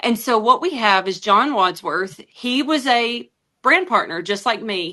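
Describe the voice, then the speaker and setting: A woman speaks with an Alabama accent at a moderate pace. Her tone is bright and sharp. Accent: Southern US (Alabama). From US South. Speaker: network marketing presenter. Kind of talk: sales pitch.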